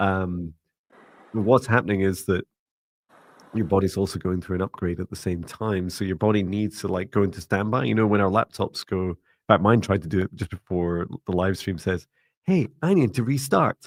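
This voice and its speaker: A man speaks at a moderate pace with fairly low pitch and ordinary pitch variation. The sound is dry and close with no echo, on a very clean recording with a silent background. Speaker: psychic mentor and meditation teacher. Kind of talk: live-stream psychic reading. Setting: live stream. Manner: soothing.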